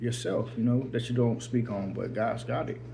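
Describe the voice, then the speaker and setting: A man's somewhat breathy, dark and mellow voice at a medium pitch, flat and monotone at a moderate pace, with audible room echo. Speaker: faith vlogger. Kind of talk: personal vlog testimony. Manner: halting.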